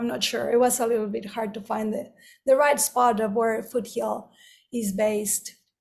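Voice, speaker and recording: A woman speaks at a moderate pace in a fairly high voice. Her intonation stays fairly even. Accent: Spanish. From Mexico. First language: Spanish. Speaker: wedding photographer. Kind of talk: lecture.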